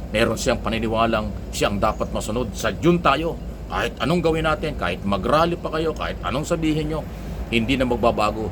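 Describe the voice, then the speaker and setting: A man talks at a fairly quick pace. The recording has audible room echo and noticeable background noise. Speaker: political commentator. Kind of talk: opinion monologue. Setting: away from usual place. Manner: loud.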